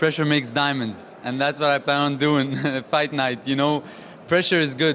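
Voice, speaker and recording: The pace is fairly quick. Noticeable background noise runs underneath. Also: man. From Saudi Arabia. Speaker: professional boxer. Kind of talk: post-event interview.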